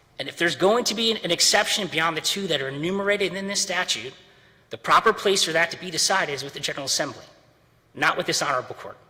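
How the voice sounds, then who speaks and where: A man with a high pitch at a very fast pace, big swings in loudness and noticeable background noise. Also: ordinary pitch variation. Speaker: attorney. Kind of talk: courtroom oral argument. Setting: courtroom.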